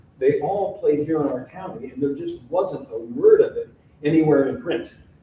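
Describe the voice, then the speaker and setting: Over clear background noise, a man's speech holds a middling speed and normal shifts in pitch. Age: 70s. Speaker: author and local historian. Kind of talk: public lecture.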